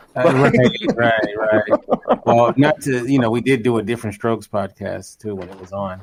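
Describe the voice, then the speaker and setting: A man with an American accent speaks at a moderate pace in an unremarkable speaking voice, his pitch medium and his intonation fairly even, while his loudness swings widely. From Los Angeles, California. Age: 30s. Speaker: podcaster and filmmaker. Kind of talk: casual chat.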